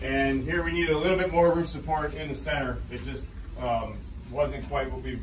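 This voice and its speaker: Over noticeable background noise, a male speaker keeps a moderate pace. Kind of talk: tour explanation. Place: tunnel cave. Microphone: camera far.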